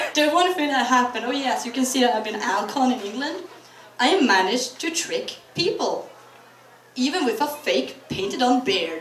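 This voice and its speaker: A woman with a high pitch makes very wide pitch swings at a moderate pace, with noticeable background noise and audible room echo. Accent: Norwegian. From Norway. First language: Norwegian. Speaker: convention panelist. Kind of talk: convention talk. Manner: animated.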